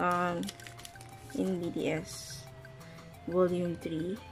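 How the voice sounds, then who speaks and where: Over music in the background, a woman with a non-native accent speaks at a fairly low pitch. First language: not English. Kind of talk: casual unboxing talk to camera.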